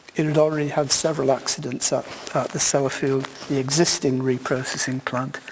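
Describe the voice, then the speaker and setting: Noticeable background noise sits under a British accent delivered at a fairly quick pace in a monotone, flat intonation. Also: man, fairly high pitch for a man. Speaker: keynote speaker, sociologist of science. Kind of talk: keynote lecture.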